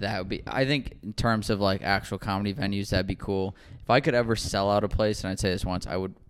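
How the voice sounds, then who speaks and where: On a very clean recording with a silent background, a man speaks in a normal speaking voice. His pitch is fairly low with ordinary pitch variation, and his pace is fairly quick. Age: 20s. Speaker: comedian and podcast host. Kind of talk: casual chat. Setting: studio.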